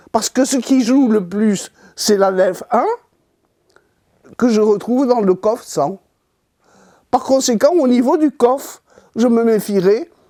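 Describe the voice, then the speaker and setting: A woman's fairly high voice with a dark, mellow tone, at a very slow pace, broken by long, frequent pauses. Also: ordinary pitch variation, very even loudness. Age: 80s+. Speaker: author on Kabbalah. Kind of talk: interview explanation.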